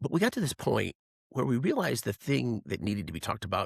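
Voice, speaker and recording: A man's fairly low voice with vocal fry, at a moderate pace, in a dry, close sound with no echo and a very clean recording over a silent background. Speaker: podcast host. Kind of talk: casual political discussion. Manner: loud; animated.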